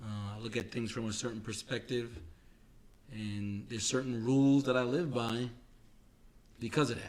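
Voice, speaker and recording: With audible room echo, a man with a New York accent speaks at a moderate pace and medium pitch, his intonation fairly even and his pauses long and frequent. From New York City (Queens). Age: 40s. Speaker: podcast co-host. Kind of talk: casual chat. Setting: home recording studio.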